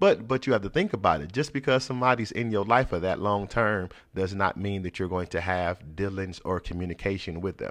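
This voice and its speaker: A man's ordinary speaking voice, fairly low in pitch, at a fairly quick pace with ordinary pitch variation, over a quiet background. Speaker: pastor and podcast host. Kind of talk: casual chat.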